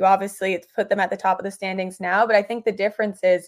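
A woman with an American accent and a plain, everyday voice speaks at a fairly quick pace on a very clean recording with a silent background. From New York City. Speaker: hockey journalist. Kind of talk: casual interview.

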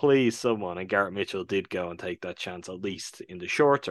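A man's fairly low voice with an Irish accent, ordinary pitch variation and a moderate pace, dry and close with no echo against a quiet background. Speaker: podcast co-host. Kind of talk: casual chat.

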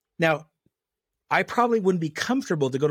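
On a very clean recording with a silent background and a dry, close sound with no echo, a man talks at a fairly quick pace with very wide pitch swings. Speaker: pastor. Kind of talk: interview. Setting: studio. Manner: forceful.

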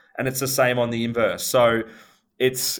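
A man talks at a moderate pace and a medium pitch, with monotone, flat intonation. The recording is very clean, with a silent background. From Melbourne, Australia. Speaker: company CEO. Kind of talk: interview answers, business talk.

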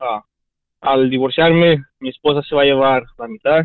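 A man at a moderate pace. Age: 20s. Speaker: caller. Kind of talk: phone-in call. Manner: halting.

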